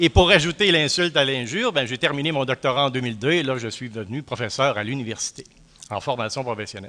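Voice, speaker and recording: At a fairly quick pace, a man talks with lively intonation. His pitch is medium. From Quebec, Centre-du-Québec. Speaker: professor. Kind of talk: lecture. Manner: hesitant, many fillers.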